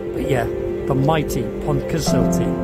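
Loud music plays in the background as a man speaks at a moderate pace. The sound is dry, with no echo. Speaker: narrowboat vlogger. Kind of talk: casual vlog chat. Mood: cheerful, laughing. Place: boat. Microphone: phone near.

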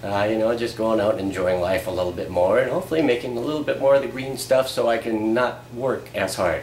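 With an American accent, a man talks at a fairly quick pace with ordinary pitch variation, amid audible room echo and light background noise. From US Upper Midwest (Fargo area). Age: 40s. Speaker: vlogger, part-time radio/TV media worker. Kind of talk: casual video blog monologue. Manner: casual, halting with fillers. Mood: relaxed, self-deprecating humor. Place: home room. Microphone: camera far.

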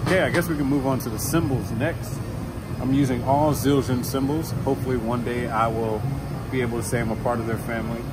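Speech comes at a very fast pace over loud background noise. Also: man. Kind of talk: gear rundown talk. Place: stage. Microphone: camera far.

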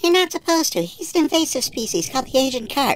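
A cartoonish character voice rattles along at a very fast pace in a high pitch. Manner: brisk, informative, lecturing.

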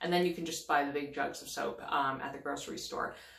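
Recorded with audible room echo, a woman talks at a moderate pace in a very deep, low-pitched voice. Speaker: parenting blogger. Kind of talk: tutorial. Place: bathroom. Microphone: phone near.

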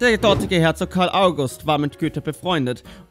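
Moderate pace, with music in the background. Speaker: history explainer narrator. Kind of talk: animated history explainer narration.

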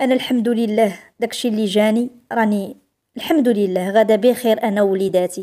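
A woman with a dark, mellow tone talks at a moderate pace and fairly high pitch, her intonation fairly even. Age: 40s. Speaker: storyteller. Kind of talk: first-person storytelling.

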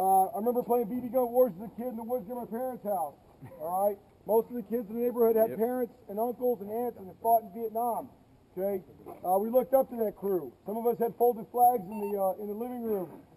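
A very fast pace, ordinary pitch variation, and a dark, mellow tone with big swings in loudness. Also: man, high pitch for a man. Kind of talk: briefing speech to a crowd. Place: street. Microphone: camera far.

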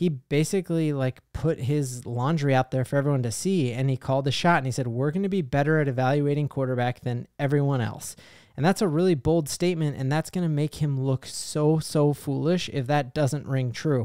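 A man with an American accent talks at a fairly quick pace with hardly any pauses, using a fairly high pitch, ordinary pitch variation and a dark, mellow tone. The sound is dry with no echo, over a quiet background. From Colorado. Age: 30s. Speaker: sports YouTuber, fan channel host; sports fan commentator. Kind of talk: sports commentary monologue to camera. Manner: animated, excited; frequent fillers (um, uh). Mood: happy, celebratory. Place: home room. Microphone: studio mic.

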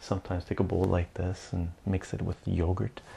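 A man speaks softly at a moderate pace, his very deep, low voice somewhat breathy with a dark, mellow tone. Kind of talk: ASMR casual talk to camera. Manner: soft-spoken.

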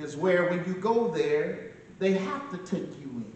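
Audible room echo follows a man who speaks with lively intonation at a fairly slow pace. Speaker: pastor giving eulogy. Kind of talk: sermon. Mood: solemn, earnest. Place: church. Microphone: camera far.

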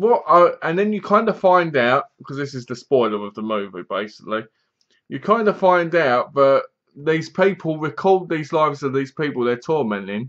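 The background stays quiet. This male speaker's pitch rises and falls very widely. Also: moderate pace. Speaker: film reviewer. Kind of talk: casual review commentary. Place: home room. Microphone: webcam.

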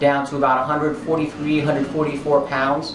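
A man speaks over noticeable background noise. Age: 30s. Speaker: gym client. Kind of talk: testimonial to camera. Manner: casual, hesitant. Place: gym. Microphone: camera far.

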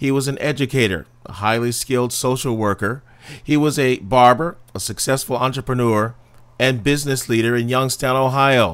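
Speaking at a moderate pace, a man uses a plain, everyday voice at medium pitch. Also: fairly even intonation. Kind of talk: documentary narration.

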